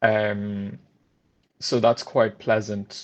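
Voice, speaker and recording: This is a man speaking. He has an Irish accent. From France. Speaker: trainee solicitor. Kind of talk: interview conversation.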